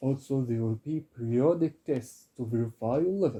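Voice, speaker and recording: A somewhat breathy voice with a dark, mellow tone moves at a moderate pace with ordinary pitch variation. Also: man. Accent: Arabic. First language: Arabic. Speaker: Arabic and Quran tutor. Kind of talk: self-introduction sales pitch.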